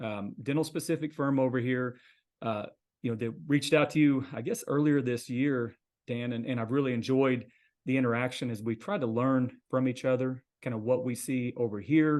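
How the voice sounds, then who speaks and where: A normal speaking voice: a man with an American accent, medium pitch, fairly even intonation and a moderate pace. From US Midwest, Missouri. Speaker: accountant. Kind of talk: casual interview.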